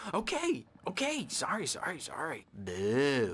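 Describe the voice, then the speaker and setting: Using a put-on character voice, a man talks at a fairly slow pace with a fairly high pitch. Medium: video game.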